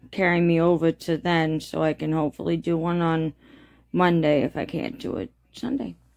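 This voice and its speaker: Her voice is fairly low for a woman, with a dark, mellow tone. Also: quiet background. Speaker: YouTube creator. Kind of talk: casual vlog chat. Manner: drowsy, slow bedtime murmur. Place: home room. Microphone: phone near.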